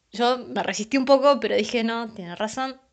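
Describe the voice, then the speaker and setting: A woman with a Rioplatense accent talks at a moderate pace in an animated tone, her fairly high voice showing ordinary pitch variation against a quiet background. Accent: Argentine Rioplatense Spanish. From Argentina, San Pedro, Buenos Aires province. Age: 20s. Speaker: writer, anthology author. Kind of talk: casual testimony.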